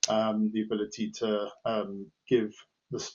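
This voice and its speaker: Fairly even intonation marks this man's speech, delivered with a British accent. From UK. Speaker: head of professional services at a software company. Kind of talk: podcast interview. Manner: hesitant, many fillers.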